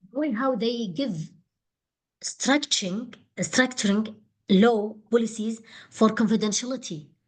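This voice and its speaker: Her voice is somewhat breathy and fairly high, and this woman speaks at a fairly slow pace with ordinary pitch variation and long, frequent pauses. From Qatar. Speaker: doctoral candidate. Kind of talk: thesis defence. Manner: halting.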